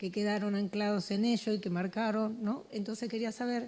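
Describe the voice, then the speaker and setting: Speaking with fairly even intonation, a woman uses a dark, mellow tone at a fairly high pitch. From Andalusia, Huelva. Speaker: audience member, parent. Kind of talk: audience question.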